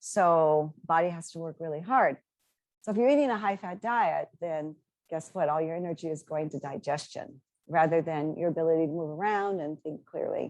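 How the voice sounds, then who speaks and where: A woman with a fairly low pitch talks at a moderate pace with ordinary pitch variation, in a normal speaking voice. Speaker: dietitian nutritionist. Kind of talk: webinar presentation.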